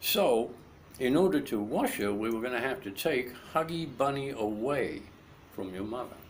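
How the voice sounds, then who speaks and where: A man talks at a medium pitch with lively intonation. Room echo is audible. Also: moderate pace. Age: 60s. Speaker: grandfather telling family stories. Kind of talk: storytelling to a grandchild. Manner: halting.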